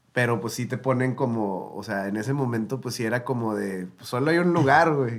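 A man's plain, everyday voice at a medium pitch, with ordinary pitch variation, a moderate pace and hardly any pauses. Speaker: singer-songwriter and producer. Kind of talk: casual interview chat.

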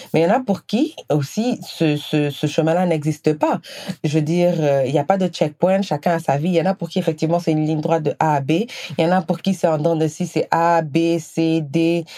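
Her tone is dark and mellow, with a fairly low pitch for a woman. She talks at a fairly quick pace, with fairly even intonation and very even loudness. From Senegal. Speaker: podcast host. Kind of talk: personal monologue.

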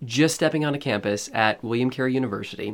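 The man has an American accent and a medium-pitched voice with ordinary pitch variation, captured on a very clean recording with a silent background. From Eastern Oregon, then Kenya as missionary kid. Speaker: church staff minister. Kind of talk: interview. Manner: halting, many fillers.

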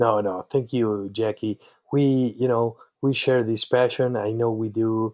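Monotone, flat intonation from a man at a medium pitch and a fairly slow pace. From Uruguay. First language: Spanish. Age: 30s. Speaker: eye surgeon and educator. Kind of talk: casual interview. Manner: halting, many fillers.

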